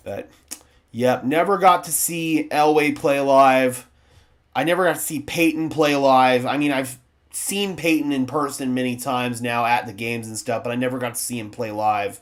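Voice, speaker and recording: A man with an American accent speaks at a moderate pace and medium pitch, with ordinary pitch variation. It is a normal speaking voice. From US Southwest (southwestern New Mexico). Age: 20s. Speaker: sports streamer, football fan channel host. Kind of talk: live stream reaction and chat. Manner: casual, conversational.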